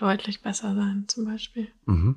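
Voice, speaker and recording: In a very clean recording with a silent background, a woman with a normal speaking voice talks at a moderate pace and fairly high pitch. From Bavaria, Germany (near Munich). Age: 20s. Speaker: dating show contestant. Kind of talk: casual chat.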